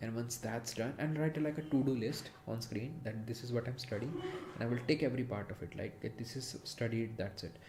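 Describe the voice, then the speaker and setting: A man with a non-native accent talks at a fairly quick pace. His voice sits at a medium pitch with ordinary pitch variation, over noticeable background noise. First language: not English. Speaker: streamer studying Japanese. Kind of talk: casual livestream talk. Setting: live stream on camera. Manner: halting, with fillers.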